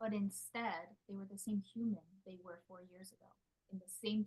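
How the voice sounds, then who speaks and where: A quiet, somewhat breathy voice with a dark, mellow tone moves at a moderate pace. Its intonation stays fairly even. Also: woman. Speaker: spiritual business coach. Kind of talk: live group coaching call. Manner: quieter.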